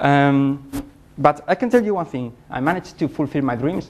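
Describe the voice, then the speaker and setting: The man's voice sits fairly high. He speaks with lively intonation. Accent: Spanish. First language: Spanish. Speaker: software debugging consultant. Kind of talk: conference talk. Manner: slow, deliberate; hesitant, many fillers.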